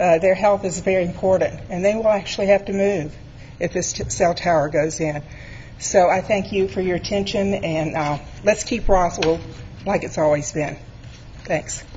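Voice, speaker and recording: Over noticeable background noise, a woman's shaky, medium-pitched voice moves at a moderate pace with fairly even intonation. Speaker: resident speaking at public hearing. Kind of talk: public comment at council meeting. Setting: city council meeting.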